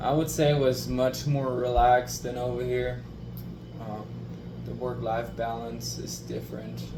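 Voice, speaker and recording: A man speaks over music in the background. There is audible room echo. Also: fairly slow pace. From Germany. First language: German. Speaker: interviewee. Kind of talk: casual interview.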